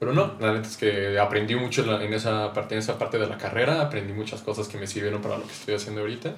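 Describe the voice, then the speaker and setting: This man speaks in a Mexican accent at a very fast pace, with hardly any pauses. His pitch is fairly low and his intonation fairly even. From Mexico. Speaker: musician and audio engineering student. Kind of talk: casual chat.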